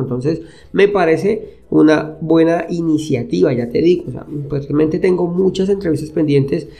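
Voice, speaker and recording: Audible room echo surrounds a man's dark, mellow voice with vocal fry. His pitch is fairly high with ordinary variation. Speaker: podcast host on digital marketing. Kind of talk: solo podcast monologue.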